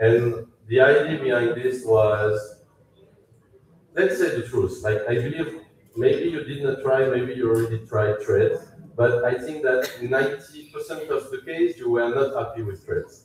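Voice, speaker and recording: This man speaks with a French accent. His pace is moderate and his pitch variation ordinary. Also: medium pitch for a man. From France. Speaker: company CEO. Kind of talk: product launch presentation. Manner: halting.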